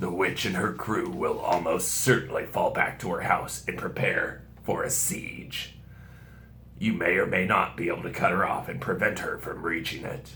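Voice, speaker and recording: A man puts on a raspy character voice. Clear background noise sits behind him. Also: moderate pace. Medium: read story. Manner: grave, measured.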